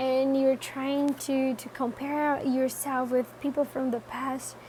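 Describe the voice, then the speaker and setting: A woman speaks at a very slow pace in a high, monotone voice with flat intonation. There is noticeable background noise. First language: not English. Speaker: tarot reader. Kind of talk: tarot reading talk to camera. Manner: casual, hesitant.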